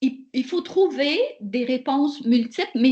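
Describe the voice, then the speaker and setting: This woman's voice sits high in pitch. She speaks very slowly. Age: 60s. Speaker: professor. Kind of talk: webinar Q&A answer.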